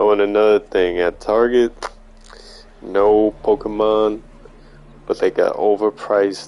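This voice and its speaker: Long, frequent pauses break up a man's speech at a fairly slow pace. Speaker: gaming streamer. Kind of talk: casual chat.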